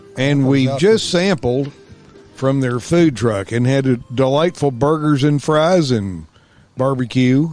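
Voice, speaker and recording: Over music in the background, a man talks at a very slow pace with very even loudness. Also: medium pitch for a man, ordinary pitch variation. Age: old. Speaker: former camp counselor, podcast co-host. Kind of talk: casual podcast conversation.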